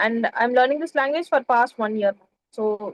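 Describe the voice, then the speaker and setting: A woman with a Tamil accent speaks at a fairly quick pace in a high pitch, with ordinary pitch variation. The sound is dry and close, with no echo. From India (Chennai, Tamil Nadu). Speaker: English learner, office administrator. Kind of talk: casual interview. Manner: polite.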